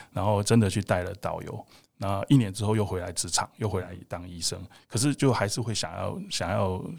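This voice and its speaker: In a very clean recording with a silent background, a man with an ordinary speaking voice and fairly low pitch talks at a fairly quick pace with fairly even intonation. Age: 50s. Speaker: emergency doctor and fitness coach. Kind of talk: interview conversation.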